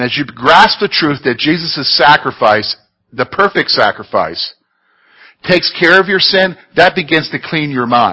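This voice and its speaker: With a plain, everyday voice, a man speaks at a moderate pace in a fairly high pitch with lively intonation. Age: 40s. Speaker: Bible teacher. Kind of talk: Bible study teaching. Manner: conversational.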